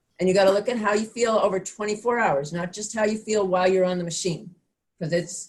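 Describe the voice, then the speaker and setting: This woman speaks at a medium pitch, somewhat breathy and with fairly even intonation. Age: 60s. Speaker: fitness instructor. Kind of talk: online class instruction. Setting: video call.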